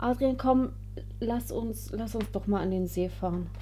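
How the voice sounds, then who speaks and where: At a fairly slow pace, a woman speaks. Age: 30s. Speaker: wedding photographer. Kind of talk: casual chat.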